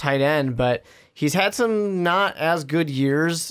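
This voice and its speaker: A man speaks with ordinary pitch variation over a quiet background. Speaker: podcast co-host. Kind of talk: sports podcast discussion. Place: studio. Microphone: studio mic.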